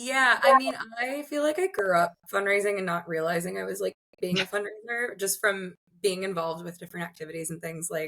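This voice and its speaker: With an American accent and a bright, sharp tone, a woman speaks at a fairly quick pace and medium pitch, her intonation lively and her loudness swinging widely. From US Mid-Atlantic, Baltimore/Washington DC area. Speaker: arts fundraiser. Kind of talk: interview.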